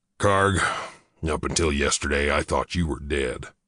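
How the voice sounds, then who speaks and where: A man puts on a raspy character voice, pitched very deep and low, speaking at a fairly slow pace with fairly even intonation over a quiet background. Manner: solemn.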